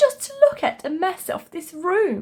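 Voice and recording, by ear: Using a put-on character voice, a woman speaks slowly at an extremely high pitch, with big pitch swings and a dark, mellow tone.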